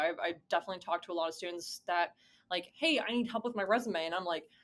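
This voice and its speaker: In an American accent, a woman talks at a medium pitch with ordinary pitch variation. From US South (Georgia). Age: 20s. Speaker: college esports administrator. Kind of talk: interview. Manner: casual, many fillers and restarts.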